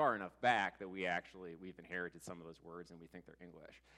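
Very deep and low, this man's voice has a bright, sharp tone. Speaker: church teacher. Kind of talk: sermon. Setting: church. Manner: loud.

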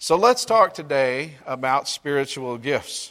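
A fairly high-pitched man with a Mississippi accent. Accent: Southern US (Mississippi). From US South. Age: 40s. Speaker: pastor. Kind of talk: sermon.

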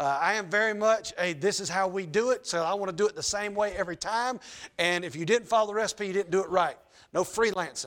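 With a Southern US accent, a man speaks at a fairly quick pace in a high pitch, his intonation lively. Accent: Southern US (Georgia). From US South, Georgia. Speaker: pastor. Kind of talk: sermon. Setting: church. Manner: loud when excited, toned down.

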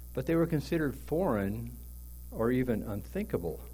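A man's voice with vocal fry and a dark, mellow tone carries audible room echo. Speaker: pastor. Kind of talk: sermon.

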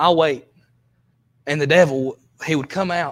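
A man with a Southern US accent talks at a fairly high pitch with ordinary pitch variation. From US South. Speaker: preacher. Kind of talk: sermon. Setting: church.

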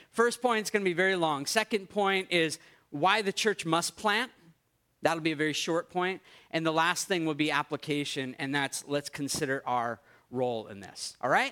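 A man's bright, sharp voice with a New England accent, lively intonation and a moderate pace, in a dry, close sound with no echo. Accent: American (New England). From US Northeast (Maine). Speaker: pastor. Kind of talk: sermon.

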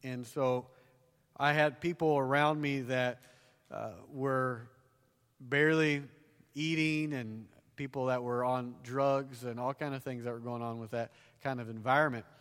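A man at medium pitch talks at a fairly slow pace with fairly even intonation and long, frequent pauses. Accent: Southern US. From US South. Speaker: conference preacher and author. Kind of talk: sermon. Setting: church stage with audience.

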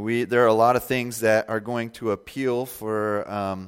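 A man speaks at a fairly slow pace with a medium pitch. The recording is very clean and the background silent. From Indiana, US Midwest. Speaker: pastor. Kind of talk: sermon. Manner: halting, many fillers.

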